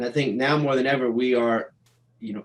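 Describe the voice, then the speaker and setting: At a moderate pace, a man speaks in an animated tone. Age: 40s. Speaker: DJ and producer. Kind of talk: casual interview chat. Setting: home studio, livestream.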